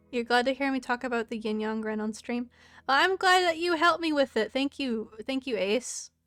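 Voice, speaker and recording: Someone with an American accent talks at a fairly quick pace with lively intonation, in a dry, close sound with no echo and music in the background. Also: woman, high pitch for a woman. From Florida. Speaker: streamer. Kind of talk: casual chat. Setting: live stream.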